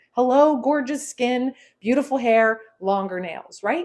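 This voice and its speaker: Animated in tone, a woman with a high voice speaks at a moderate pace. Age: 50s. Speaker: inner healing coach. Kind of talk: live stream demonstration talk.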